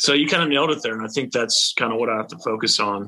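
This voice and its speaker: A man speaks at a very fast pace with a bright, sharp tone. His pitch is medium, with ordinary variation. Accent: Texan. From Texas. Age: 30s. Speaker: country musician. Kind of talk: casual interview chat.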